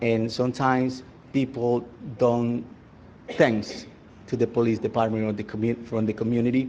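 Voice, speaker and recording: A man's medium-pitched voice in a Spanish accent, dark and mellow in tone, monotone and flat in intonation, at a moderate pace. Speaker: resident speaking at public comment. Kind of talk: public comment at council meeting. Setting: town council meeting. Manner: halting.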